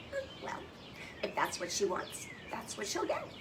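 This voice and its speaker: A put-on character voice at an extremely high pitch moves at a moderate pace. Loud background noise runs underneath. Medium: read story. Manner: calm, gentle.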